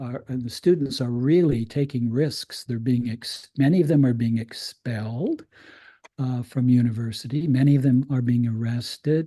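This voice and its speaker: Speaking at a fairly slow pace, a man with a medium-pitched, somewhat breathy voice and a dark, mellow tone shows ordinary pitch variation. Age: 70s. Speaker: critical pedagogy scholar. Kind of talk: invited talk. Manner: halting, many fillers and repetitions.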